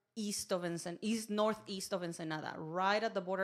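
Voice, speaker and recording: The recording is very clean, with a silent background. A woman speaks at a moderate pace, at medium pitch, with fairly even intonation. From Mexico, Mexicali, Baja California. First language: Spanish. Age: young. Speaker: podcast guest, performer. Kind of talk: casual chat.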